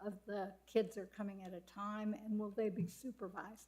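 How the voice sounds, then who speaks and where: Speaking at a moderate pace, a woman uses a medium-pitched, somewhat breathy voice. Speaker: planning and zoning commissioner. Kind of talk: public meeting questioning.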